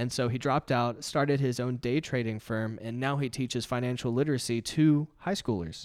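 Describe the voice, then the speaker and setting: With an American accent and an unremarkable speaking voice, a man talks at medium pitch and a fairly quick pace with hardly any pauses and ordinary pitch variation, on a very clean recording with a silent background. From Texas (from age 15; earlier abroad). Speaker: magazine founder and entrepreneur. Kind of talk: casual interview.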